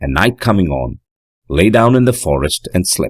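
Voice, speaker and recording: Lively intonation and vocal fry mark a man's very deep, low voice, recorded with a dry, close sound and no echo. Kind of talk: audiobook narration of a classic horror story.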